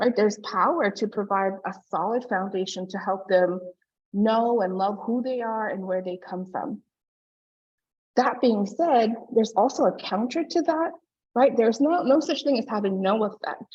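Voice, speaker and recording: This woman talks at a moderate pace with a fairly high pitch. Her intonation is lively. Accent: non-native. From Hawaii, Oahu. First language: not English. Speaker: early learning researcher and presenter. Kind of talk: conference presentation.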